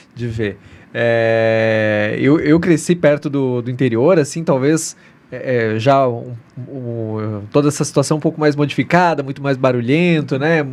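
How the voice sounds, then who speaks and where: A man with a normal speaking voice talks at a medium pitch and fairly slow pace, with ordinary pitch variation. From southern Brazil, Rio Grande do Sul. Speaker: podcast host. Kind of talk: interview.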